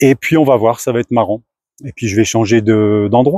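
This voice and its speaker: With a dark, mellow tone at medium pitch, a man talks at a fairly quick pace and fairly even intonation, the sound dry and close with no echo. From France. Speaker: startup founder. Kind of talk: casual talk to camera.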